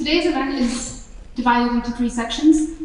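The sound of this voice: A woman with a high pitch and a slightly mellow tone shows ordinary pitch variation, with audible room echo.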